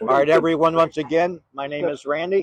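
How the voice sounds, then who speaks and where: A man speaks loud and high-pitched in a dry, close sound with no echo. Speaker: paranormal investigator vlogger. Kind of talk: on-location vlog narration. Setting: outdoors in a cemetery. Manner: casual, conversational.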